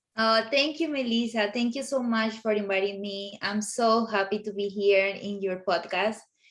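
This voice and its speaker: Speaking with a Colombian accent, a woman keeps a moderate pace with hardly any pauses. Her pitch is fairly high. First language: Spanish. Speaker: professional home organizer. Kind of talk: interview. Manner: halting with fillers. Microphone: sound problems at start.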